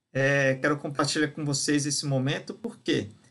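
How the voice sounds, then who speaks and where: The tone is bright and sharp, and the pace is moderate. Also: man. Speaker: software instructor. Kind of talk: tutorial. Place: home room. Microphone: webcam.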